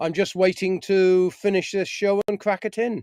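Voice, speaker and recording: Speaking at a moderate pace with a British accent, a man uses a high pitch, the sound dry and close with no echo. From UK. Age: 60s. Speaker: appliance repair engineer. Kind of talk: live stream Q&A. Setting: in a parked camper van.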